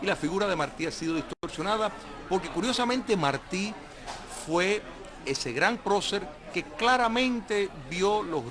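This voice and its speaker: Noticeable background noise sits behind a man with a high pitch. He talks at a fairly slow pace, and his pitch swings very widely. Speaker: political scientist and guest. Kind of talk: TV interview answer.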